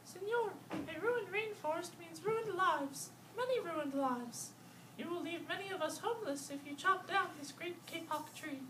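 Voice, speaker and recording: A squeaky, put-on character voice at an extremely high pitch and moderate pace, with clear background noise. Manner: piping, pleading.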